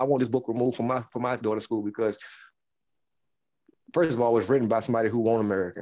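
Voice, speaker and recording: A man's voice, dark and mellow in tone. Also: quiet background. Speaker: podcast co-host. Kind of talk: casual podcast rant. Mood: annoyed but joking. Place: home room. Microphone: headset.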